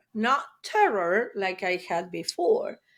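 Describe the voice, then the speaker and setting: A woman with an Argentine accent speaks at a fairly high pitch. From Argentina. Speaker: trauma therapist. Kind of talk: interview testimony. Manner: hesitant, many fillers.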